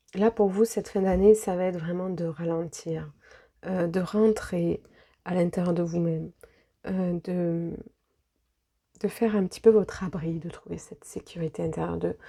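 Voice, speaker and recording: A woman speaks at a fairly slow pace with a dark, mellow tone, her pitch fairly low and her intonation fairly even. Her loudness swings widely, and she leaves long, frequent pauses. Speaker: medium and energy healer doing card readings. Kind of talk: tarot-style guidance reading. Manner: hesitant, many fillers; soft-spoken.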